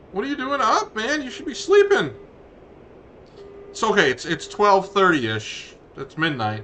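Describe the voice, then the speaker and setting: A man talks at a moderate pace with long, frequent pauses and big swings in loudness, against noticeable background noise. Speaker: gaming streamer. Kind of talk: casual chat. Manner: halting. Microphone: headset tracker mic, sounds poor.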